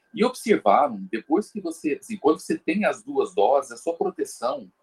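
A man's voice comes across dry and close, without any echo, as he talks at a moderate speed. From Brazil, São Paulo. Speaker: guest commentator on health topics. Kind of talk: casual discussion.

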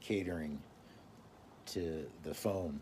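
A man with an American accent speaks with fairly even intonation. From US South, Mississippi. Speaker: podcast host. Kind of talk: casual solo livestream talk. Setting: video livestream at home. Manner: slow; halting.

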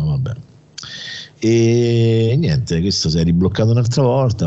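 Moderately paced, a man talks while noticeable background noise continues. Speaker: radio host. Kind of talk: casual chat.

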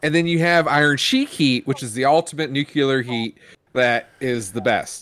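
An ordinary speaking voice belongs to a man with an American accent who talks at a moderate pace in a fairly high pitch with ordinary pitch variation. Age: 40s. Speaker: wrestling podcast co-host. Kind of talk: casual chat.

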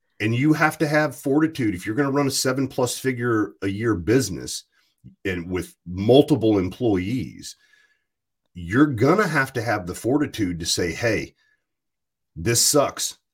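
Lively intonation marks this medium-pitched man speaking with an American accent, somewhat breathy. His pace is fairly slow, on a very clean recording with a silent background. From US South, rural Virginia. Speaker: podcast host. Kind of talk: casual chat.

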